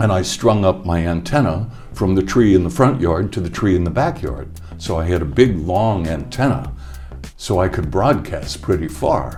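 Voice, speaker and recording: Music plays behind a man with a very deep, low voice. He speaks at a moderate pace, his pitch swinging very widely. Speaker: radio DJ. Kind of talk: interview answer.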